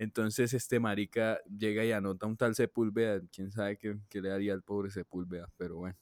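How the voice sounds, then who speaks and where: A man with a fairly low pitch talks with hardly any pauses in a monotone, flat intonation. The sound is dry and close, with no echo. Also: fairly quick pace. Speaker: podcast co-host. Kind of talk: casual chat.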